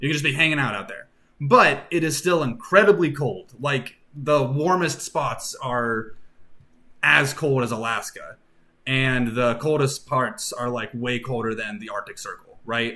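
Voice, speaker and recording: A man's fairly high, bright, sharp voice at a fairly slow pace, with big swings in loudness and ordinary pitch variation. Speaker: streamer and worldbuilding artist. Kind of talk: casual live stream chat. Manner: casual, many fillers.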